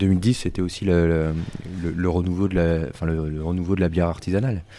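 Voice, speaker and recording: Here a man speaks with a very deep, low pitch and a dark, mellow tone. His intonation is fairly even and his pace fairly slow. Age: 30s. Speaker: brewer. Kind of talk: casual interview.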